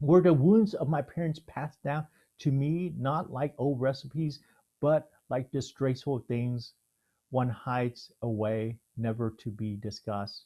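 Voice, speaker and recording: A man with an American accent talks at a medium pitch and a fairly slow pace, his tone dark and mellow with ordinary pitch variation. The recording is very clean, with a silent background. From Houston, Texas (born Vietnam). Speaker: theologian. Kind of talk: reading aloud.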